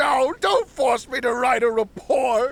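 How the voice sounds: A man's put-on character voice, extremely high-pitched with vocal fry, a fairly bright tone, ordinary pitch variation and a slow pace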